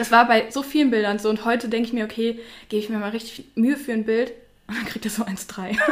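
A woman's fairly high, monotone voice at a very fast pace, flat in intonation. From Mönchengladbach, Lower Rhine, Germany. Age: 20s. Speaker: influencer. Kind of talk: casual interview chat.

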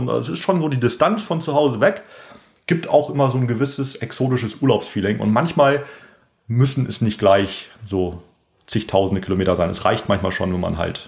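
Somewhat breathy and enthusiastic in tone, a man's voice moves through very wide pitch swings. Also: medium pitch for a man, moderate pace. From northern Germany, Bremen. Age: 30s. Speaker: professional angler. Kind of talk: casual interview.

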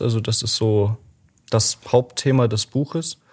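At a fairly slow pace, a man with a somewhat breathy voice speaks with ordinary pitch variation. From Germany, Dresden (Saxony). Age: 20s. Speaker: library volunteer presenting a book. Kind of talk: casual interview about a book.

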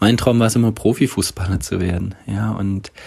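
A man talks with fairly even intonation. His voice is somewhat breathy. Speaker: podcast host. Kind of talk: casual chat.

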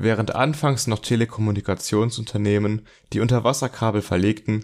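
A fairly low-pitched man on a very clean recording with a silent background. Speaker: podcast host, student. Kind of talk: scripted narration; casual chat. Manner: less raspy voice than co-host.

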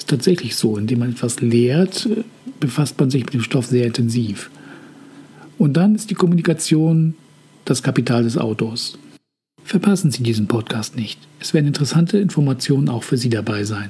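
Lively intonation from a medium-pitched man, with long, frequent pauses and noticeable background noise. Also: moderate pace. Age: 50s. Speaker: podcast host, hobby author. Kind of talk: scripted monologue. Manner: formal.

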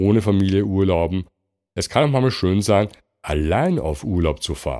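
In a very clean recording with a silent background, a dark, mellow voice speaks in a relaxed tone at a moderate pace with lively intonation. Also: man. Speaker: podcast host. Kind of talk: solo podcast monologue.

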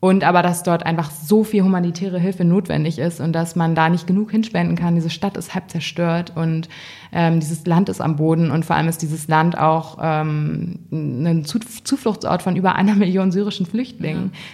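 A woman's somewhat breathy, fairly low voice with a dark, mellow tone, fairly even intonation, a moderate pace and hardly any pauses. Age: 20s. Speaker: fashion editor. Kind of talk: interview. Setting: magazine office.

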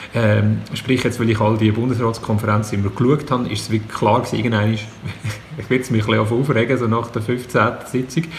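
Noticeable background noise and audible room echo fill the recording. A man at a medium pitch talks at a fairly quick pace, with hardly any pauses and fairly even intonation. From Switzerland, Zug. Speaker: comedian. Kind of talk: casual chat.

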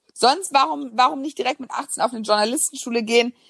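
A woman talks at a fairly quick pace, an ordinary speaking voice. Her pitch shows ordinary variation. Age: 20s. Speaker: business journalist and author. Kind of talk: casual interview.

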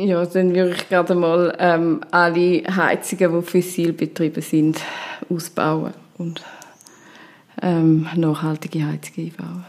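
Speaking fairly slowly with long, frequent pauses, a woman uses a fairly low pitch and a monotone, flat intonation. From rural canton of Zurich, Switzerland (Stammheim). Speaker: politician, city councillor and software developer. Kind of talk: interview. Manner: hesitant, with fillers.

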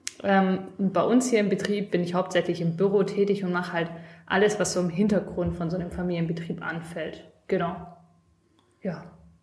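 Medium in pitch, a woman speaks at a moderate pace in a monotone, flat intonation, with long, frequent pauses. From Stuttgart, Germany. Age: 20s. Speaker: craft business office worker and podcast co-host. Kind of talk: casual chat.

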